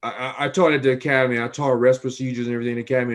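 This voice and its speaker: This man has a medium-pitched voice. He speaks with an American accent. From Chicago. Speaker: private investigator and interview host. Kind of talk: interview.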